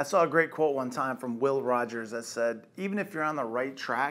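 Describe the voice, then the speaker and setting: Lively intonation marks this man's medium-pitched voice as he speaks at a moderate pace. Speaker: company executive giving motivational talk. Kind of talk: motivational monologue. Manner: casual, direct. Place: office.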